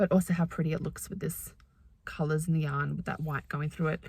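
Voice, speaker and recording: A woman speaks in a somewhat breathy voice. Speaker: knitting vlogger. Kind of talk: casual chat. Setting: in a car. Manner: fast.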